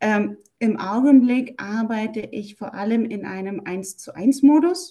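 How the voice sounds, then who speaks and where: Very slowly, a woman speaks with a fairly high pitch. Her pitch varies in an ordinary way. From Germany. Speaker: German language teacher. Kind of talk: interview.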